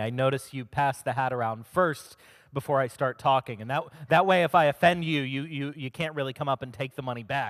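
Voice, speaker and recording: With a fairly high pitch and fairly even intonation, a man speaks at a fairly quick pace in an unremarkable speaking voice, the sound dry and close with no echo. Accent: General American. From Maryland, US. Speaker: humanist organization director, speaker. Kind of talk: talk to a congregation. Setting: stage with audience.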